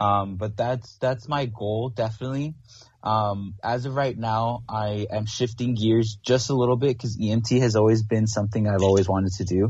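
Intonation stays fairly even in this somewhat breathy voice. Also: man, medium pitch for a man, moderate pace. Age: 20s. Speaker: aspiring paramedic. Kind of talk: casual chat.

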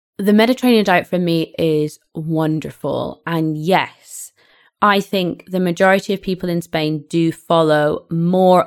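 This voice has ordinary pitch variation and a British accent. The recording is very clean, with a silent background. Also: woman. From UK. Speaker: podcast co-host, English teacher. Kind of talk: casual chat.

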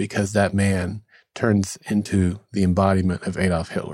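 On a very clean recording with a silent background, a man speaks at a fairly slow pace in a dark, mellow tone. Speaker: podcast host. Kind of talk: casual chat.

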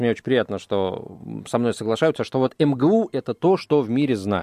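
A man's medium-pitched voice with lively intonation and a moderate pace, in a dry, close sound with no echo. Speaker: radio host. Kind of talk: casual chat. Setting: studio. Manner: halting.

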